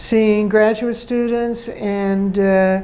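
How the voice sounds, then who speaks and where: With an American accent and ordinary pitch variation, the voice comes through noticeable background noise and audible room echo. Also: woman. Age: 80s+. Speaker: retired professor and education dean. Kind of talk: interview. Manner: halting.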